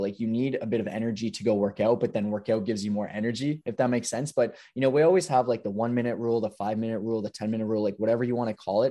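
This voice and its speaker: At a very fast pace, a man speaks in a medium pitch with a dark, mellow tone against a quiet background. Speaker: fitness coach and podcast co-host. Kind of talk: casual chat. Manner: animated.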